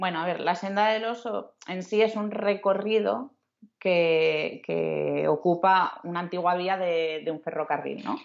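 A plain, everyday voice from a woman, fairly low in pitch, with ordinary pitch variation and a fairly slow pace. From western Asturias, Spain (Luarca). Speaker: travel blogger. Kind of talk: casual interview chat. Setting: remote call.

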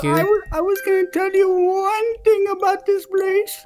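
The voice is extremely high in pitch and moves at a moderate pace. Clear background noise runs beneath it. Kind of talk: spooky campfire storytelling. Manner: rambling, forgetful.

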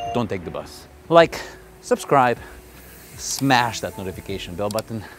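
Faint music plays in the background as a man speaks in a dry sound with no echo. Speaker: fitness vlogger. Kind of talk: casual vlog chat. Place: street. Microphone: phone near.

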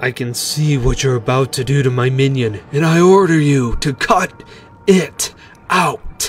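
A gruff, put-on character voice at a low-to-middle pitch and moderate pace, over clear music in the background. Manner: commanding, gruff.

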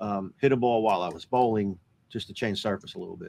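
A man speaks fast in a fairly low, slightly mellow voice with vocal fry and ordinary pitch variation.

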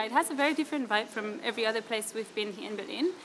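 Talking at a very fast pace with ordinary pitch variation, a woman is heard against noticeable background noise. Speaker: travel vlogger. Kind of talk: casual vlog chat. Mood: warm, enthusiastic. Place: street. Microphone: phone near.

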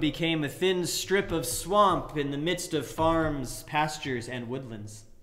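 Against a quiet background, a man talks at a fairly slow pace, his voice fairly high in pitch with ordinary pitch variation. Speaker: preacher. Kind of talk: sermon delivering a fairy tale. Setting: livestream sermon during church closure. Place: church. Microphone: webcam.

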